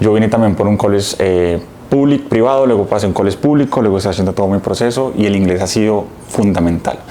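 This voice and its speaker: Noticeable background noise sits behind a man with a fairly low pitch who speaks at a very fast pace with ordinary pitch variation. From Colombia. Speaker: immigrant vlogger. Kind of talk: vlog talk to camera. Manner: casual, conversational.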